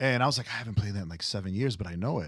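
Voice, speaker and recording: A man with a fairly low, somewhat breathy voice talks at a very fast pace with ordinary pitch variation. The recording is very clean and the background silent. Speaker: music show host and musician. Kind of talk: casual interview. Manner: rambling, with tangents.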